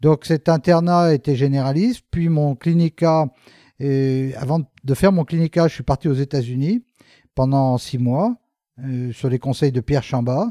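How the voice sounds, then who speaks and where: Recorded very cleanly against a silent background, dry and close with no echo, a man with a fairly high pitch and a dark, mellow tone speaks at a fairly slow pace with ordinary pitch variation. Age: 60s. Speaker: orthopedic surgeon. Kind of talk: interview. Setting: office.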